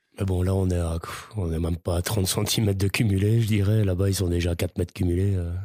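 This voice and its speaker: Very clean against a silent background, a man's very deep, low voice has a dark, mellow tone, monotone, flat intonation, very even loudness and a fairly quick pace. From Belgium. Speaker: seasonal ski resort worker. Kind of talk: casual chat.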